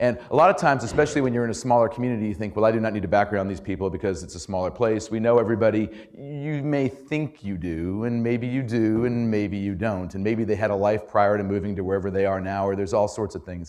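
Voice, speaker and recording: Hardly pausing at all, the man speaks at a very fast pace. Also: fairly low pitch for a man, ordinary pitch variation. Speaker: journalism trainer and former political reporter. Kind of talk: workshop talk. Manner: casual, halting with repetitions.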